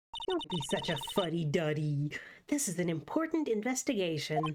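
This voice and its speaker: A woman's put-on character voice at a medium pitch and a moderate pace, with clear background noise. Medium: game stream. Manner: excitable, bubbly.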